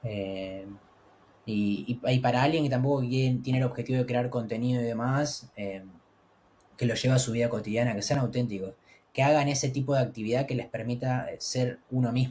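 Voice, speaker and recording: A man with a Rioplatense accent speaks at a medium pitch and a fairly quick pace. His voice is somewhat breathy, with fairly even intonation. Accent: Argentine Spanish (rioplatense). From Argentina. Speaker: travel content creator. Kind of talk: interview.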